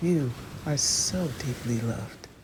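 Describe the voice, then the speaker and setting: Noticeable background noise surrounds a woman speaking in a gentle tone. She goes at a fairly slow pace with lively intonation. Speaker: self-love coach. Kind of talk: guided relaxation introduction. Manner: soft, gentle.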